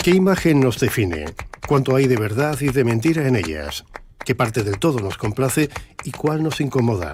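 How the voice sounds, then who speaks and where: Noticeable background noise behind a man at a medium pitch, moving at a moderate pace with very wide pitch swings. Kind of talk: documentary narration.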